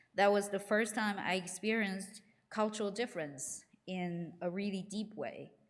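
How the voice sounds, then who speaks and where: A woman with a Chinese accent and fairly even intonation. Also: medium pitch for a woman, moderate pace. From China. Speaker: congregation member giving reflection. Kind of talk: reading aloud. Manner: halting, with many fillers.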